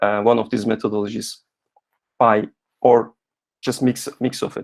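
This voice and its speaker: The pace is fairly quick. A man talks at a medium pitch. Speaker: software engineer giving a talk. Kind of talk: webinar talk with discussion. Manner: fast.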